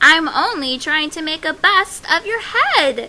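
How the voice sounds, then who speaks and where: A woman's put-on character voice at an extremely high pitch and a fairly slow pace. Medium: read story. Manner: polite, gentle.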